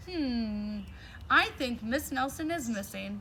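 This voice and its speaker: Fairly slow, fairly high-pitched put-on character voice from a woman, with clear background noise. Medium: read story.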